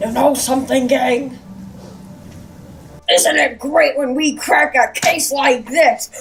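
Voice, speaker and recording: In a put-on character voice, a raspy, female-sounding voice speaks at a high pitch and a fairly slow pace, with long, frequent pauses. Clear background noise can be heard. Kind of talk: parody documentary host. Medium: stage play. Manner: earnest, boastful.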